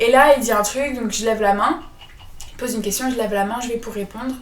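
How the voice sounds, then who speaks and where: Delivery is fairly quick with fairly even intonation. Noticeable background noise and audible room echo are present. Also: woman. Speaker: podcast co-host. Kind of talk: casual chat. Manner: soft-spoken. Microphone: poor sound quality at start.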